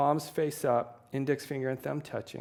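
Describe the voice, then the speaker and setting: A man with an unremarkable speaking voice talks at a moderate pace and a medium pitch, on a very clean recording with a silent background. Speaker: yoga teacher. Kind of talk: guided yoga class. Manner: calm instructional.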